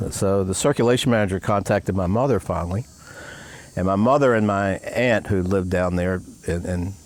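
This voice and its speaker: Noticeable background noise surrounds a man with an American accent and a fairly low pitch. He talks at a fairly quick pace with fairly even intonation. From Maryland, US. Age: 70s. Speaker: retired newspaper publisher. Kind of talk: interview.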